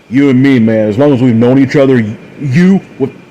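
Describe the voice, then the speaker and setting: A man puts on a growling character voice at a medium pitch. He moves at a fairly quick pace with ordinary pitch variation. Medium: read story. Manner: snarling, angry.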